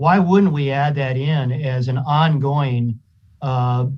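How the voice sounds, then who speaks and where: A man's fairly high-pitched voice comes through somewhat breathy. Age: 60s. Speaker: county supervisor. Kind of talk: public meeting discussion. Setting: video call.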